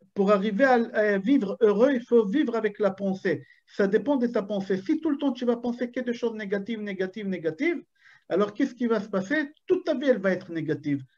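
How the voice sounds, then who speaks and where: The delivery moves at a moderate pace. It comes with an Israeli accent. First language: Hebrew (speaking French). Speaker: rabbi. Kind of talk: Torah lecture. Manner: animated.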